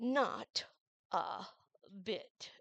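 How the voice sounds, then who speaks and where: A female-sounding voice puts on a character voice at a fairly high pitch. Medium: read story. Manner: languid, curt, stern.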